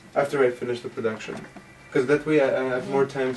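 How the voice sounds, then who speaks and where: Over noticeable background noise, a man talks at a medium pitch with an Armenian accent. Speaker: costume designer. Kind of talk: interview. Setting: studio. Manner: halting.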